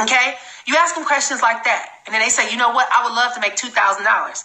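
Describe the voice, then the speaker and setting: Noticeable background noise sits behind this woman. Her fairly high voice has an animated tone. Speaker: network marketing trainer. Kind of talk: live sales training. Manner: fast.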